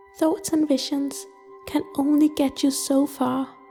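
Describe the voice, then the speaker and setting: A woman speaks at a moderate pace in a high, monotone voice with flat intonation, with music playing in the background. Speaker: guided meditation narrator. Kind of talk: casual explanatory talk to camera.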